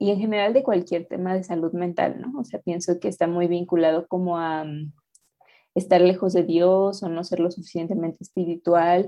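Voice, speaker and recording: Someone speaks in a normal speaking voice at a moderate pace, with fairly even intonation. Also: woman, fairly low pitch for a woman. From Mexico City. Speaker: activist. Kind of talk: interview.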